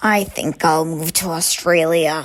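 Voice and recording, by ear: A woman speaks at a fairly slow pace with a low pitch. Her intonation stays fairly even.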